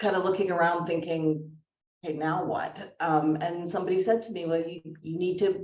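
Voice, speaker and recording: Audible room echo surrounds a woman with a Canadian accent who speaks at a very deep, low pitch. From Canada. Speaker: career speaker, former consultant. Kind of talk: fireside chat interview.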